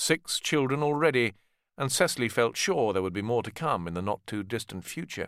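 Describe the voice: In a very clean recording with a silent background, a man of medium pitch talks at a moderate pace with a fairly bright tone and lively intonation.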